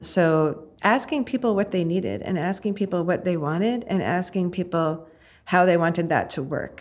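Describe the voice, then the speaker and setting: A woman with an American accent has a plain, everyday voice, fairly low in pitch, with ordinary pitch variation and a moderate pace. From New Jersey. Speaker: disaster relief volunteer organizer. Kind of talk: interview testimony.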